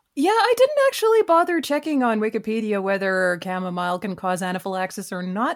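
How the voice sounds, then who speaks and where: With an unremarkable speaking voice, a woman talks at a fairly quick pace, medium in pitch and lively in intonation. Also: hardly any pauses. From Canada (Vancouver). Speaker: writer and musician. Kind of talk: casual chat.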